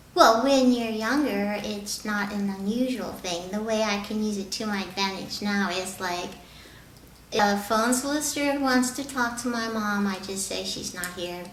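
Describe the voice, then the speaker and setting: Noticeable background noise accompanies a woman's speech. The room echo is audible. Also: ordinary pitch variation, moderate pace. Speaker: voiceover hopeful, documentary subject. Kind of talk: interview testimony.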